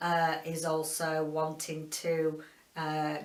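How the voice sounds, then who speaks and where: With a Yorkshire accent, a woman speaks at a very deep, low pitch, and audible room echo surrounds her. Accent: broad Yorkshire. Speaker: book reviewer. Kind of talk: casual video book review. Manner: halting, many fillers.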